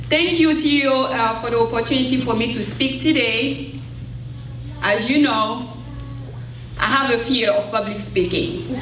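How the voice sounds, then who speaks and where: A woman with an Ivorian accent and a fairly high voice, lively intonation at a moderate pace, long and frequent pauses, noticeable background noise and audible room echo. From Ivory Coast, West Africa. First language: French. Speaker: former adult education student, keynote speaker. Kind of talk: keynote speech. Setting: stage with audience. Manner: halting.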